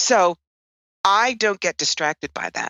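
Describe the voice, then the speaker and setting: Lively intonation marks the woman's speech, delivered at a moderate pace. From New York. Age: 60s. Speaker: psychic and tarot reader. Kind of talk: interview.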